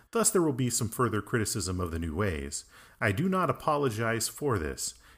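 At a moderate pace, a man uses a normal speaking voice at medium pitch. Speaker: Anglican priest. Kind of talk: casual conversation. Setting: remote call.

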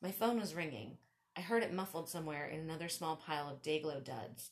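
Moderate-paced speech from a woman with a fairly low pitch. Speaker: podcast host and author. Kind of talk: storytelling. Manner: comedic.

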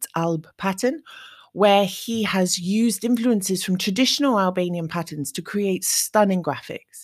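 At a fairly slow pace, a normal speaking voice with ordinary pitch variation comes through in a very clean recording with a silent background. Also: woman, medium pitch for a woman. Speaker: podcast host. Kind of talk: scripted intro; interview.

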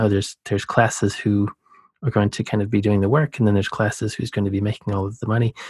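Calm in tone and somewhat breathy, the voice carries an American accent in a dry, close sound with no echo. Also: man. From US South, Georgia. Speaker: podcast host, oceanographer. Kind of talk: casual interview conversation.

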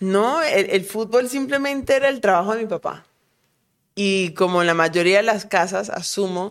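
With lively intonation and a medium pitch, this woman has an unremarkable speaking voice and talks at a moderate pace. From Colombia, Cali; childhood moved often abroad. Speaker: professional footballer. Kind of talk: casual interview.

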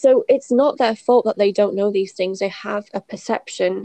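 Recorded dry and close with no echo, a woman with a fairly high pitch speaks with fairly even intonation. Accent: British. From Britain. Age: 30s. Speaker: podcast co-host, former teacher in China. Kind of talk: casual chat.

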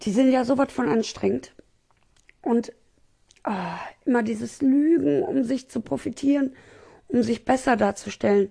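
Her voice high, dark and mellow, a woman speaks fairly slowly with lively intonation and long, frequent pauses. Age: 30s. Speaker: podcaster. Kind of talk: casual personal monologue. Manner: chatty, many fillers; animated.

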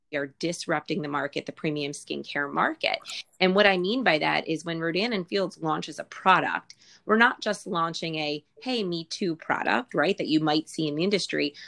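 At a moderate pace, a woman speaks in an unremarkable speaking voice, fairly low in pitch, with ordinary pitch variation. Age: 40s. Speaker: skincare sales business leader, former clinical researcher. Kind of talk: casual interview with sales pitch elements.

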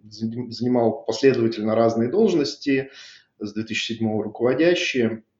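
Here a man talks at a medium pitch. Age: 40s. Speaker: IT division head. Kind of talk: corporate interview.

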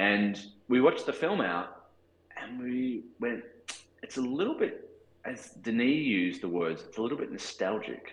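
A man speaks at a moderate pace with big swings in loudness and audible room echo. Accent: Australian. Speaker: cinematographer. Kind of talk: interview. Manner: halting.

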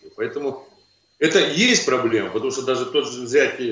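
A man at a moderate pace, with audible room echo. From Kazakhstan. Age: 50s. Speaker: trade union official. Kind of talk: video call interview. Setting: video call. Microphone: poor audio, hard to hear.

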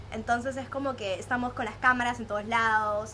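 With a bright, sharp tone and fairly even intonation, a woman talks at a fairly quick pace amid audible room echo. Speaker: podcast host. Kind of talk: casual chat. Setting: outdoor home terrace.

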